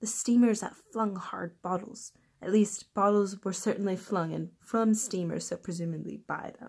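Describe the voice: The clip is plain reading aloud with ordinary pitch variation.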